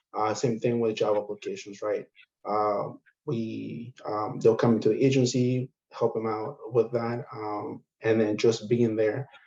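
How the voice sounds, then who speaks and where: A man's medium-pitched, somewhat breathy voice, dark and mellow in tone, with fairly even intonation at a fairly slow pace. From immigrant to the US. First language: not English. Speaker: community service caseworker. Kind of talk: online training discussion. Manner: halting.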